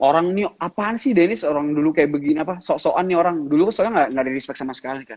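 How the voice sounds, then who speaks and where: Barely pausing, a man races along at a very fast pace, his fairly high pitch showing ordinary variation while his loudness swings widely. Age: 20s. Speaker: entrepreneur. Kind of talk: interview. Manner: casual, animated.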